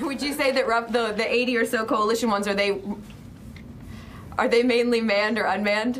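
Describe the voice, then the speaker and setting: Against noticeable background noise and audible room echo, a woman with a fairly high pitch talks at a fairly quick pace, with fairly even intonation and long, frequent pauses. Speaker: journalist. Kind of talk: press briefing question. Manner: fast.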